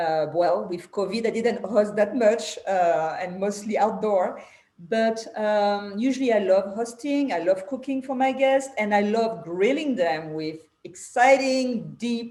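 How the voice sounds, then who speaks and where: Fairly slow, lively-sounding speech from a woman with a strong French accent. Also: fairly high pitch for a woman. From France. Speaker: podcast host. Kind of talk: casual interview chat.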